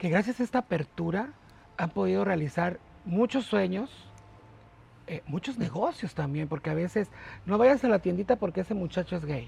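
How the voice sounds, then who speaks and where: High male pitch, lively intonation, and a moderate pace from a man. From Mexico, port of Veracruz. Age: 40s. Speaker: port worker and online radio host. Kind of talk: interview conversation.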